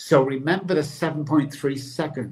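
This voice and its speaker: With an American accent, a man talks at a moderate pace in a fairly high, somewhat breathy voice. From England (Manchester). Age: 60s. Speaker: addiction recovery expert. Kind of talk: motivational interview talk. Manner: animated.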